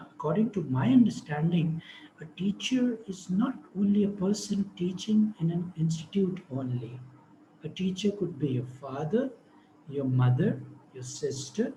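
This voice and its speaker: A soft-spoken man, high in pitch, with very wide pitch swings at a moderate pace. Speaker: speaker on education and Islamic spirituality. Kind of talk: online talk. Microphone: too quiet.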